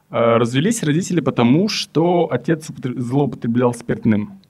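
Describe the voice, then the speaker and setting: Lively intonation marks this man's speech. He talks at a very slow pace and medium pitch. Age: 20s. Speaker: therapy client. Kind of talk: therapy session. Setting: studio.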